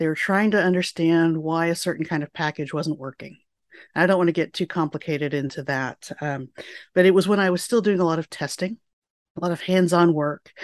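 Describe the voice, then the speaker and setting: A woman with a normal speaking voice talks at a fairly quick pace, fairly low in pitch and fairly even in intonation. The sound is dry and close with no echo, over a quiet background. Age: 40s. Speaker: physicist and program manager. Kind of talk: interview.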